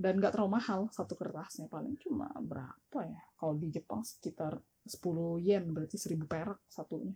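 Speaking at a fairly quick pace, a woman uses lively intonation in a somewhat breathy, medium-pitched voice. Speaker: guest living abroad. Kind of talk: casual chat.

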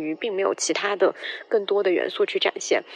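Noticeable noise sits behind speech delivered very fast. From Guizhou, China. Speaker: film podcast guest. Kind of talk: prepared film review.

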